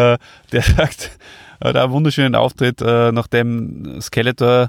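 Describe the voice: A man talks fairly slowly at a medium pitch with vocal fry and little pitch movement, in a dry, close sound with no echo.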